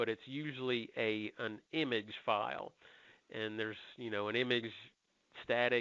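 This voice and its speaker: The man's voice sits at a medium pitch with fairly even intonation. He keeps a moderate pace. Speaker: software trainer. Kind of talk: tutorial. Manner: loud.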